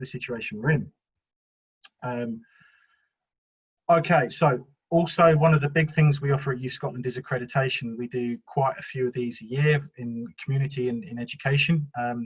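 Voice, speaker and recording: A man's fairly high, somewhat breathy voice in a South London accent. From South London, England. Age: 40s. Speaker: youth work trainer. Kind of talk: webinar presentation. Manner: hesitant, many fillers.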